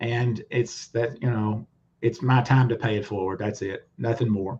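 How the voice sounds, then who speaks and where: Speaking with a Southern US accent, a man uses a medium pitch, a monotone, flat intonation and a somewhat breathy delivery at a moderate pace. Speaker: lawyer. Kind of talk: testimony. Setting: livestream video call.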